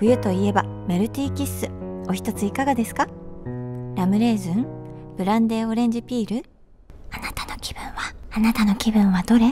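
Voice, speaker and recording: Clear music sits behind a woman speaking at a moderate pace, her loudness swinging widely. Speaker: actress in a chocolate TV commercial. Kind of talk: ASMR whisper commercial. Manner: whispered, soft. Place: studio. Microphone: studio mic.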